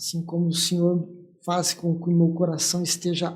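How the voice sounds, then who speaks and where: This man's voice sits at a high pitch. His tone is dark and mellow. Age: 60s. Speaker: church leader, pastor. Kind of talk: testimony.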